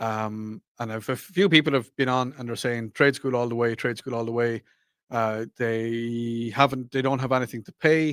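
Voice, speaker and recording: At a moderate pace, a man with an Irish accent speaks at a medium pitch with fairly even intonation, the sound dry and close with no echo. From Ireland. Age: 40s. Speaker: radio talk show host. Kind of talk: radio call-in show, reading listener texts. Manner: casual, hesitant with fillers.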